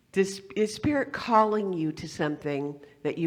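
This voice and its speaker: A woman speaks fairly slowly, her pitch swinging very widely. The background is quiet. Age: 70s. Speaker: guest speaker at spiritual center. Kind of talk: sermon. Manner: halting.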